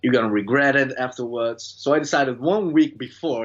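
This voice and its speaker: A man talks at a fairly quick pace with a Brazilian accent. His pitch is medium. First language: Brazilian Portuguese. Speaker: student. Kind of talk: interview. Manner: halting.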